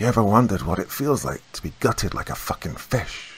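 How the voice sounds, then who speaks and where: Hissing marks a man's put-on character voice, pitched medium and delivered at a fairly quick pace. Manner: hissing, maniacal.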